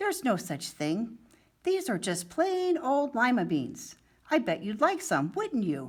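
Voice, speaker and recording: Putting on a character voice, a woman speaks at a fairly slow pace. Her fairly high pitch moves in very wide swings. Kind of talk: bedtime story. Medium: read story. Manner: warm, gentle.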